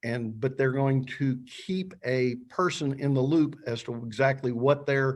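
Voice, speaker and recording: A man's fairly high voice, a normal speaking voice, over a quiet background. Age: 60s. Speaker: funeral and cemetery planner. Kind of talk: webinar presentation. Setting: online webinar.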